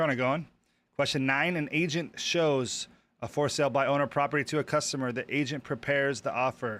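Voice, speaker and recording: Fairly even intonation in a man's fairly high voice. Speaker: real estate exam prep YouTuber. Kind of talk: live stream, reading and working through practice questions. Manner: fast; thinking aloud, hesitant.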